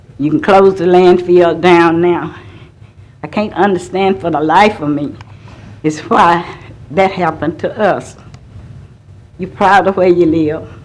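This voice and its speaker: Amid audible room echo, a woman with an American accent speaks fairly slowly at a fairly low pitch, with ordinary pitch variation and long, frequent pauses. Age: 70s. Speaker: resident speaking at public comment. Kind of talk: public comment testimony. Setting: city council meeting.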